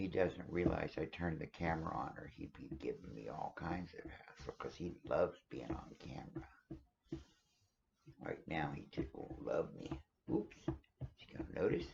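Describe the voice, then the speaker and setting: A man's loudness swings widely as he talks at a moderate tempo. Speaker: RV vlogger traveling with pets. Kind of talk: casual vlog talk to camera. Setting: at home in RV, dog on lap. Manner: halting, many fillers.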